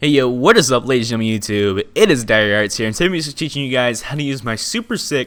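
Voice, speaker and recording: A man talks at a very fast pace in a medium pitch. Music plays in the background. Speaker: YouTube tutorial creator. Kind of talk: tutorial. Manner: energetic.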